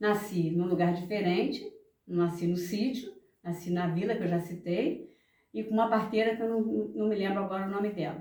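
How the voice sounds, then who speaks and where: A woman of medium pitch talks at a moderate pace with ordinary pitch variation. Audible room echo surrounds her voice. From Brazil, rural village in Natividade area. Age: 70s. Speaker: elderly interviewee telling life story. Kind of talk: oral history interview. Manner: halting, with repetitions.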